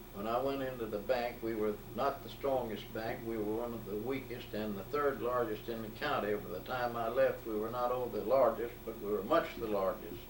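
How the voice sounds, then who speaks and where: A man with an Alabama accent and fairly even intonation, with audible room echo and noticeable background noise. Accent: Southern US, Alabama. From US South, Alabama Gulf Coast. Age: 80s+. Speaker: retired banker. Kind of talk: oral history interview.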